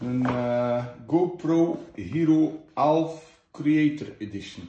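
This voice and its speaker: Light background noise and audible room echo surround a man with a West Flemish accent, whose fairly high voice shows ordinary pitch variation. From West Flanders, Belgium. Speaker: unboxing host. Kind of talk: casual unboxing talk to camera. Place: home room. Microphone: phone near.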